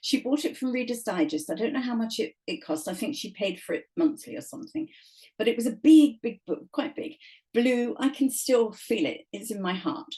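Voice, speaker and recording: In an English accent, a woman speaks at a moderate pace with a high pitch and very wide pitch swings. Her tone is dark and mellow. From England. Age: 70s. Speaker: author. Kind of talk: casual chat. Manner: animated.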